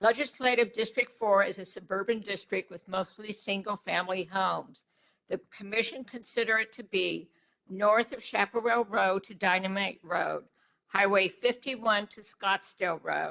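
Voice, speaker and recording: In an American accent, a woman speaks at a moderate pace with a medium pitch and a bright, sharp tone. Her intonation is fairly even, while her loudness swings widely. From Arizona, Phoenix area. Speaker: public hearing speaker. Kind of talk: public comment. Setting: public hearing. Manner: formal.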